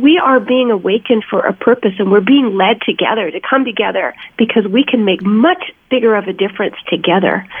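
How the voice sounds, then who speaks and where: A woman talks at a fairly quick pace and fairly high pitch, with ordinary pitch variation and noticeable background noise. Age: 60s. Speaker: actress and animal welfare advocate. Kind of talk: interview.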